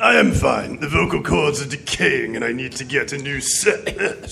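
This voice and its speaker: A man uses a put-on character voice with a raspy sound. He speaks at a moderate pace. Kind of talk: pulp radio drama villain. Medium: audio drama. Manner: menacing.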